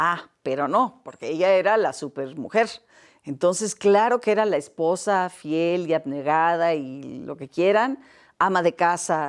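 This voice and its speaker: Over a silent background in a very clean recording, a woman with a fairly low pitch talks at a fairly slow pace with lively intonation. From Mexico. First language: Catalan (speaking Spanish). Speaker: academic interviewee. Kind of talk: interview. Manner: halting, repeats words.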